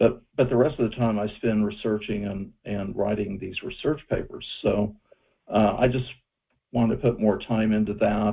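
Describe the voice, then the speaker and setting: A man with a fairly low pitch speaks in a normal speaking voice at a moderate pace and with fairly even intonation. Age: 60s. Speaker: UFO researcher. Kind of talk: interview.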